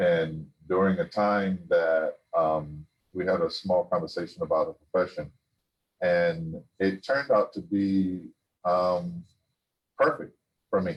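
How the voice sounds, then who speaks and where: A man speaks at a very slow pace. His speech has long, frequent pauses. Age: 60s. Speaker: business owner sharing personal health experience. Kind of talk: testimony. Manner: halting.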